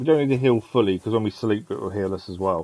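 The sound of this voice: The man's voice has a dark, mellow tone and a fairly low pitch. He speaks at a fast pace with ordinary pitch variation.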